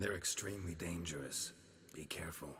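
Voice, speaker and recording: Using a put-on character voice, a man speaks very deep and low at a fairly quick pace, with a clear echo around him. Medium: video game. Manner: gruff, dry.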